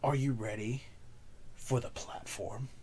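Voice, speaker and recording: Against clear background noise, a man puts on a character voice at a medium pitch and a fairly slow pace. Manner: dramatic showy announcer delivery.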